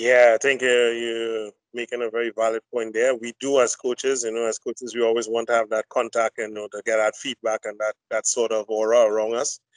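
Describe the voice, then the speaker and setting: A man speaks at a medium pitch in a flat monotone, moving at a fairly quick pace with hardly any pauses. The sound is dry with no echo, and the background is quiet. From Trinidad and Tobago. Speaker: hockey coach educator. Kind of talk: panel discussion. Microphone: video call.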